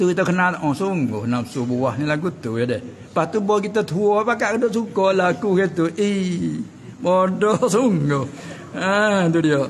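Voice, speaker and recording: A high-pitched man's voice with lively intonation at a fairly slow pace, over light background noise. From Southern Thailand. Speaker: religious teacher. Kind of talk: religious lecture. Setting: Islamic boarding school. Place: hall. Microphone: studio mic.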